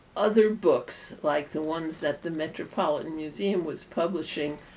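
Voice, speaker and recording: Over light background noise, a woman speaks at a fairly low pitch with ordinary pitch variation. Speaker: interviewee. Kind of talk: interview answer. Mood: relaxed, wry storytelling. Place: home room.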